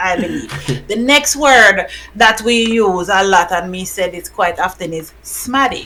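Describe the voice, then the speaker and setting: Lively intonation in a Jamaican accent, a fairly slow pace and big swings in loudness, over noticeable background noise. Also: woman, medium pitch for a woman. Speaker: podcast host. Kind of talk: casual podcast conversation.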